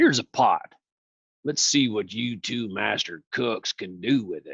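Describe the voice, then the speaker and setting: A man puts on a raspy character voice at a medium pitch. He moves at a moderate pace, with big swings in loudness. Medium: read story.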